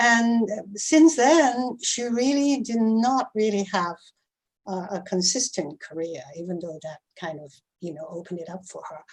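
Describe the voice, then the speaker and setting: Somewhat breathy and medium in pitch, a woman speaks at a fairly slow pace with very wide pitch swings and big swings in loudness. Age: 70s. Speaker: actress. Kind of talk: casual chat. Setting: video call. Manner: halting.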